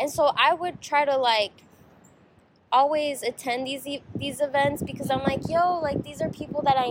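Noticeable background noise sits behind this recording. A woman with an American accent speaks slowly-ish, at a fairly slow pace, in a high voice with ordinary pitch variation. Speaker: podcast host. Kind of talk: casual chat, interview. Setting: cafe, boba shop. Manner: casual, uses slang.

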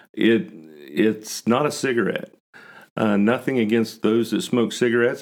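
In an American accent, a man at a medium pitch talks in an unremarkable speaking voice. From West Virginia, Huntington. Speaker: cigar lounge owner. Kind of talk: podcast interview.

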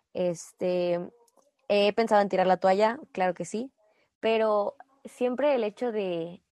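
A woman talks at medium pitch in a dark, mellow tone with ordinary pitch variation. The background is quiet and the sound is dry and close, with no echo. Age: 20s. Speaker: national team gymnast. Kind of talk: interview.

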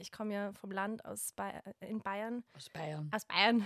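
A woman with a Bavarian accent is heard in a dry, close recording with no echo. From Bavaria, Germany. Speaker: wedding photographer. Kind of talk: casual chat.

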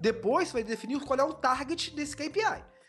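With music in the background, a man speaks at a moderate pace in an extremely high pitch. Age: 30s. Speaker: digital marketing entrepreneur. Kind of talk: interview.

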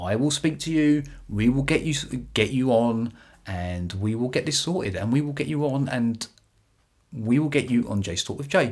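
In a British accent, a man talks at medium pitch. His pace is moderate and his intonation lively. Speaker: baseball podcaster. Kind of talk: solo podcast commentary. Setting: YouTube video podcast. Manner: animated, excitable.

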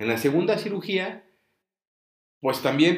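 This man's pitch jumps very widely, and vocal fry shows up throughout. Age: 40s. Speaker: podcast host, brain tumor survivor. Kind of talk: personal testimony, unedited monologue. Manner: many filler words, some stumbling. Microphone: recording setup adjusted; voice said to sound poor.

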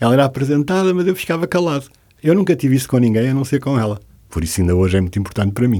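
With a dark, mellow tone at medium pitch, a man talks at a very fast pace, his pitch swinging very widely while his loudness stays very even. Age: 70s. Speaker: interior designer. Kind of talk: interview.

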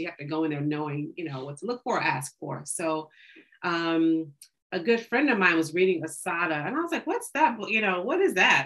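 A woman's unremarkable speaking voice, with an American accent, a fairly low pitch, ordinary pitch variation and a fairly quick pace. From Oklahoma, Tulsa. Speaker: bookstore co-owner. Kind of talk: casual interview.

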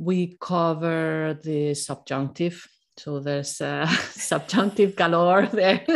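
A woman speaks at a very slow pace with a fairly low pitch and ordinary pitch variation, on a very clean recording with a silent background. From Spain. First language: Spanish. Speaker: Spanish teacher. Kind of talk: casual interview about a course launch.

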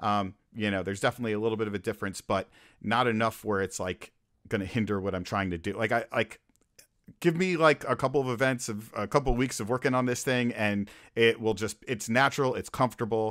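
Over a very clean recording with a silent background, a man talks very fast with ordinary pitch variation. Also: medium pitch for a man. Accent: American. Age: 40s. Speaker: DJ. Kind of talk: casual chat.

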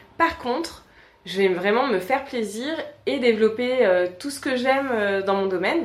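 Recorded with audible room echo, a woman talks in a high pitch with lively intonation. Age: 30s. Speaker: communication agency owner. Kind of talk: interview.

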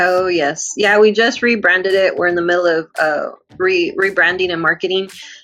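Over background music, a woman with an American accent speaks at a medium pitch and a moderate pace, her loudness very even. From Texas, Uvalde. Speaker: filmmaker and talent manager. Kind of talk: casual chat. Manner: animated.

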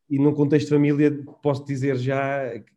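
A man's fairly high voice, dark and mellow in tone, at a fairly quick pace with audible room echo. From Portugal, Serra da Estrela (Manteigas). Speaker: IT consultancy manager. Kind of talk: casual interview chat. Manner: halting, many repetitions and fillers.

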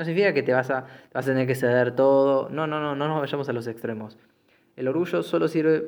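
A man with a Rioplatense accent talks at a medium pitch with ordinary pitch variation. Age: 20s. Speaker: podcast host. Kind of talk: solo monologue podcast. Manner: halting, many fillers and repetitions.

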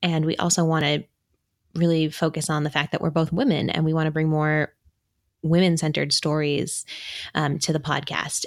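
A woman with an American accent speaks at a moderate pace, her very deep, low pitch set in a monotone, flat intonation. Her loudness stays very even, with long, frequent pauses. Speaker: podcast co-host.

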